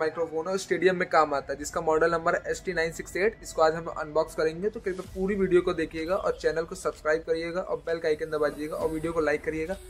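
Over light background noise, a man with a high pitch talks at a fairly quick pace. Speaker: product reviewer. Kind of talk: unboxing commentary. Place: shop.

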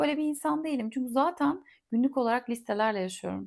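A woman's fairly high, lively voice, calm and relaxed, on a very clean recording with a silent background. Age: 40s. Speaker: podcast host and content creator. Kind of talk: casual solo monologue. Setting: home recording in a quiet holiday house. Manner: calm, relaxed.

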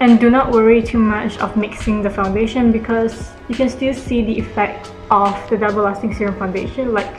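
A woman speaks with fairly even intonation. Clear music is heard in the background. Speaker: beauty vlogger. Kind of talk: tutorial. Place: home room. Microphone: camera far.

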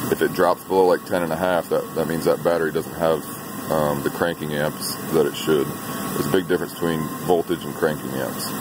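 Amid noticeable background noise, a man talks at a fairly quick pace, his sound dry with no echo. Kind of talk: tutorial. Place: garage. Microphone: phone near.

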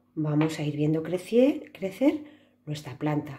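The voice is somewhat breathy and dark and mellow in tone, with very wide pitch swings. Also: woman. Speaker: preschool teacher. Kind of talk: craft tutorial for children.

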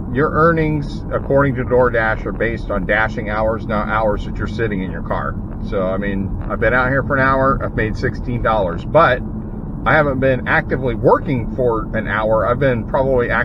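There is noticeable background noise behind this man. He talks at a moderate pace. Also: ordinary pitch variation, dry sound with no echo. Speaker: delivery driver vlogger. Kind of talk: casual vlog chat. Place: car. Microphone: phone near.

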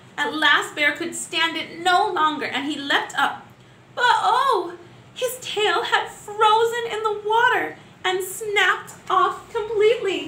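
A woman speaks at a slow pace with an extremely high pitch, a bright, sharp tone and ordinary pitch variation, with audible room echo.

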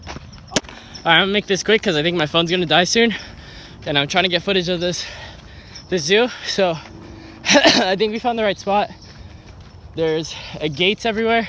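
Using a raised, projected voice, a man speaks at a fairly quick pace with ordinary pitch variation, in a dry sound with no echo and light background noise. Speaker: vlogger. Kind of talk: casual vlog chat. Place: open country. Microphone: phone near.

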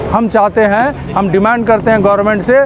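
There is clear background noise. Over it, a man talks with a high pitch.

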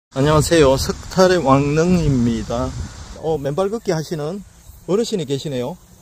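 Light background noise sits under a dry sound with no echo as the speaker talks at a moderate pace with ordinary pitch variation. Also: man, fairly high pitch for a man. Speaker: vlogger interviewer. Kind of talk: casual interviewer talk. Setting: outdoors. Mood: cheerful, warm. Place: open country. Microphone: phone near.

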